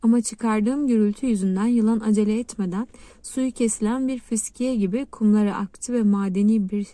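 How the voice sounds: Fairly even intonation in a natural reading voice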